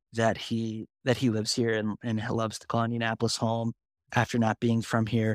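A man speaks at a moderate pace and medium pitch in a monotone, flat way. The sound is dry and close with no echo, on a very clean recording with a silent background. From US Midwest, northwest Ohio small town. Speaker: journalist. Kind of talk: casual interview chat.

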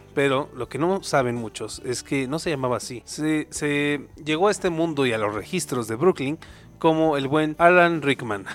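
At a moderate pace, a man speaks in an animated tone at a fairly high pitch with ordinary pitch variation, in a very clean recording with a silent background. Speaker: podcast co-host, arts student. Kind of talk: casual comedic chat.

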